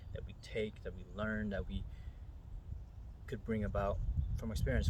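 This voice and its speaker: Very wide pitch swings run through the moderately paced speech over noticeable background noise. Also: man. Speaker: meditation guide. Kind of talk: spiritual talk. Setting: outdoors. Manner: whispered, soft-spoken.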